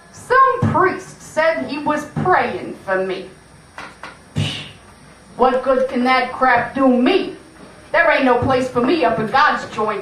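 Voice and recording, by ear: In a cartoonish character voice, a woman speaks high and fairly bright with big pitch swings at a slow pace, under strong room echo.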